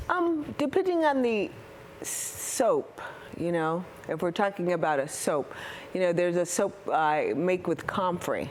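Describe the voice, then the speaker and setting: A woman with a medium pitch and lively intonation speaks at a fairly slow pace and very even loudness, with noticeable background noise behind her. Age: 60s. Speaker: soap maker, small business owner. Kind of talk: interview.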